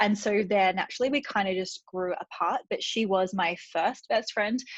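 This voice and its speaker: A woman with an Australian accent talks at a medium pitch with ordinary pitch variation. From Australia, regional Victoria. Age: 30s. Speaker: vlogger. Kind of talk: casual chat. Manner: fast.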